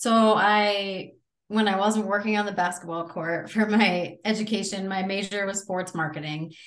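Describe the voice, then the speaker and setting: A woman with an American accent at a moderate pace, fairly even intonation, and audible room echo. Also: medium pitch for a woman. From Connecticut. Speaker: college athletics administrator. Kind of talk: interview.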